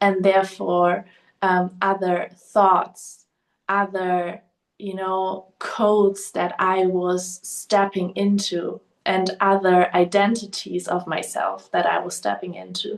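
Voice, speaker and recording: A woman speaks very slowly in a German accent. Her medium-pitched voice stays monotone and flat. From Germany. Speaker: podcast host. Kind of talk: personal monologue. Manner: hesitant, filler-heavy.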